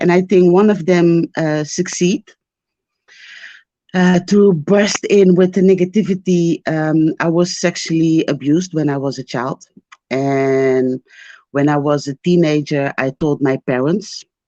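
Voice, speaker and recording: A woman with a non-native accent, fairly low-pitched and dark, mellow in tone, at a fairly slow pace with ordinary pitch variation, in a dry, close sound with no echo. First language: not English. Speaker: caller seeking spiritual consultation. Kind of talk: personal testimony on call. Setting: video call. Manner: halting, hesitant.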